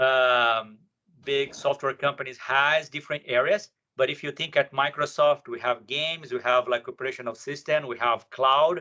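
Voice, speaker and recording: Bright and sharp in tone, a man's fairly high voice moves at a moderate pace with ordinary pitch variation. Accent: strong Brazilian. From Brazil. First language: Portuguese. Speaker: software professional, panelist. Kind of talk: panel discussion.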